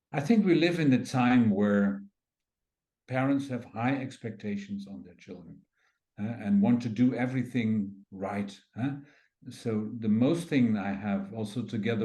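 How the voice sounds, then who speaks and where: A man at fairly low pitch, in a dark, mellow tone, with ordinary pitch variation and a moderate pace, amid audible room echo. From Netherlands. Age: 60s. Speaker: craniosacral therapy teacher and physiotherapist. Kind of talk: interview. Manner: halting.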